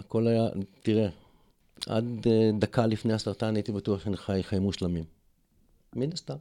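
A man with a fairly low pitch and a dark, mellow tone speaks with long, frequent pauses. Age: 60s. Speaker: cancer survivor and alternative therapist. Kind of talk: interview conversation.

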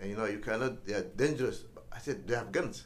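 A man with a Somali accent. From Somalia, Mogadishu. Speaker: former ambassador and author. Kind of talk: interview.

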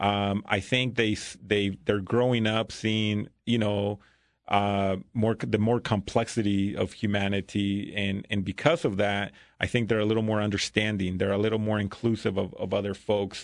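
Speaking with a Spanish accent, a man keeps a moderate pace. His fairly low voice has monotone, flat intonation. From Mexico. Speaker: school principal. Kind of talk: casual interview conversation. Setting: podcast studio.

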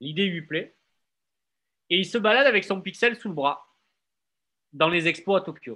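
In a southern French accent, a man with a high pitch projects a bright, sharp, raised voice at a fairly slow pace, leaving long, frequent pauses. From Marseille, southern France. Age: 30s. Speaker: blogger and gallery owner. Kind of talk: casual interview.

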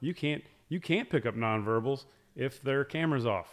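A man talks in an ordinary speaking voice at a medium pitch and a moderate pace. His intonation is lively, and the recording is very clean with a silent background. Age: 40s. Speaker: business school dean. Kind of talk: casual chat.

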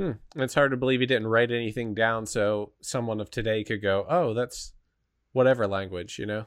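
A man in a plain, everyday voice speaks at a moderate pace with a medium pitch and ordinary pitch variation. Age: 30s. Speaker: podcast host. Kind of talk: casual chat.

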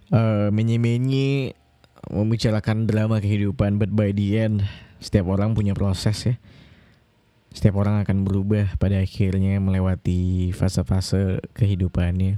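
A man's fairly low-pitched voice keeps fairly even intonation at a moderate pace. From Indonesia, Kalimantan. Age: 20s. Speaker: podcast host. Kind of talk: casual solo podcast monologue. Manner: hesitant, many fillers.

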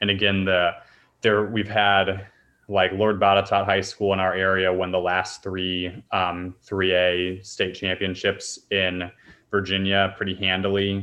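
Very deep and low, the man's voice holds a monotone, flat intonation. He speaks at a fairly slow pace. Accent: American. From grew up in China as an American. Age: 20s. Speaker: volleyball coach. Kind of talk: casual interview.

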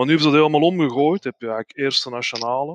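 In a Flemish accent, a man talks at a medium pitch with fairly even intonation. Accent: Flemish Dutch. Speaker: football fan, groundhopper. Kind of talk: casual chat.

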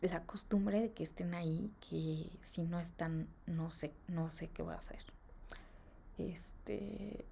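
A woman with a Mexican accent talks at a very slow pace. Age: 20s. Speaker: podcaster. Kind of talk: personal monologue. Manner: casual, rambling with fillers.

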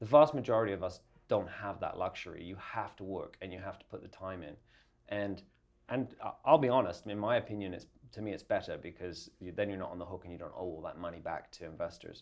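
This man talks at a very fast pace in a fairly low pitch with an Essex accent. His loudness swings widely while his pitch varies in an ordinary way. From England, Essex. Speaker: design agency owner. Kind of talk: interview.

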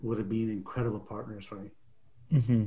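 A man speaks at a medium pitch with a dark, mellow tone. His voice is somewhat breathy, and his intonation is fairly even. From immigrant to Canada at age 10. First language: not English. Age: 50s. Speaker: author and coach. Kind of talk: casual interview.

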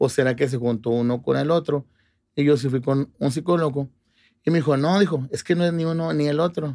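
The tone is dark and mellow. Delivery is fairly quick, with ordinary pitch variation. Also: man, fairly high pitch for a man. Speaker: police reporter. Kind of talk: interview.

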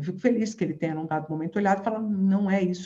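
Somewhat breathy, a woman speaks in a medium pitch with a dark, mellow tone and ordinary pitch variation. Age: 50s. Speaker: neuroscientist and professor. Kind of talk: interview.

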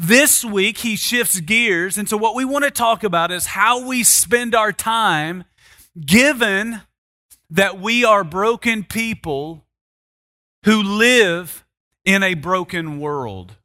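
A man's raised, projected voice, high-pitched with a bright, sharp tone, at a very slow pace with ordinary pitch variation, on a very clean recording with a silent background. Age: 40s. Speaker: pastor. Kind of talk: sermon.

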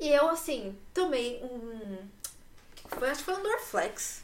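Against noticeable background noise and audible room echo, a woman speaks at a high pitch with lively intonation. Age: 20s. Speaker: podcast host. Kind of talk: casual chat.

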